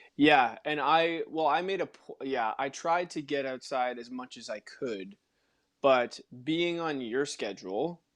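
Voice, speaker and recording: A man with a normal speaking voice and a fairly high pitch talks at a fairly slow pace, with ordinary pitch variation and big swings in loudness. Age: young. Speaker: personal trainer and actor. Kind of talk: casual chat.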